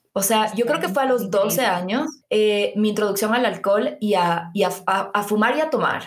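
In a room with audible echo, a woman speaks at a fairly high pitch and moderate pace, with very even loudness and ordinary pitch variation. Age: 20s. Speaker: podcast host. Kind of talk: casual interview.

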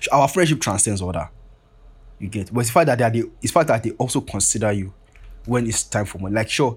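The speaker talks at a very fast pace and sounds somewhat breathy. Pitch variation is ordinary. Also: man. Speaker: podcast host. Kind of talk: casual solo rambling monologue. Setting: self-recorded at home, paused and restarted. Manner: fast talker, says 'like' a lot; casual, slangy, rambling.

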